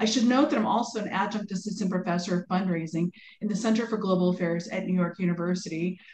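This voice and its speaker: Over light background noise and audible room echo, a somewhat breathy voice speaks at a very fast pace with ordinary pitch variation. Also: woman. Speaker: webinar host, moderator. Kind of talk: formal introduction. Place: home room. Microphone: video call.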